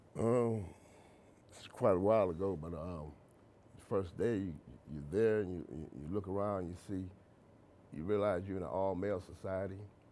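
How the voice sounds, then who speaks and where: Through audible room echo, a man with a very deep, low pitch and a dark, mellow tone speaks at a moderate pace with ordinary pitch variation, big swings in loudness and long, frequent pauses. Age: 60s. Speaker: author. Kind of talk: interview. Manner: halting.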